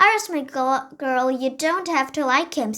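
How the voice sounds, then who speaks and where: Over light background noise, a woman performs a put-on character voice, high-pitched and lively in intonation, at a moderate pace. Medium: read story. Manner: warm, gentle.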